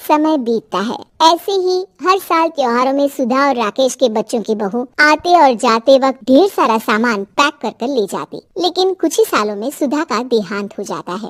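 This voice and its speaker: A female-sounding cartoonish character voice, high-pitched, at a moderate pace. She speaks with hardly any pauses. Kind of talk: cartoon storytelling.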